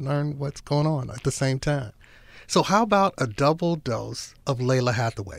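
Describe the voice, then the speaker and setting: The man has an ordinary speaking voice and a fairly high pitch. He speaks at a moderate pace. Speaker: radio announcer. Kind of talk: radio DJ show hosting. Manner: relaxed, smooth.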